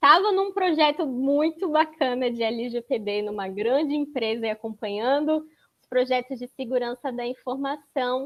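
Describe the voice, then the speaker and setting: A woman talks in a high voice. The rise and fall of her pitch is ordinary. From Florianópolis, southern Brazil. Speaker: data protection consultant. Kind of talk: panel talk presentation.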